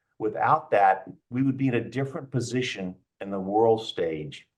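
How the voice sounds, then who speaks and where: This man's voice is somewhat breathy. He keeps a moderate pace and ordinary pitch variation. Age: 70s. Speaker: energy business executive, panelist. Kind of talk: panel discussion. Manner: halting, repeats words.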